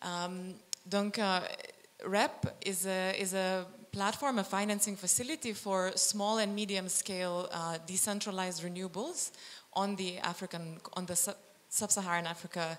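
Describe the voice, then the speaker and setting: At a very slow pace, a woman speaks at medium pitch with fairly even intonation. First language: not French (speaking French). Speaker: climate fund policy lead. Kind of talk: panel presentation. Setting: stage with audience. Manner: halting.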